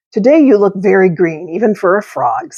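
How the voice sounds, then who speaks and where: Using a put-on character voice at medium pitch, a woman speaks at a moderate pace. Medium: read story.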